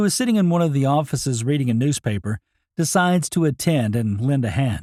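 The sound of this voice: With lively intonation, an unforced reading voice is heard over a quiet background.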